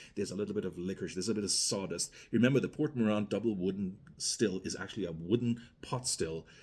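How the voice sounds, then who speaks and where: A man with a Guyanese accent, fairly low-pitched, talking very fast with ordinary pitch variation. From Guyana. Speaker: rum reviewer. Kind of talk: product review, casual monologue. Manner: conversational, with fillers and self-corrections.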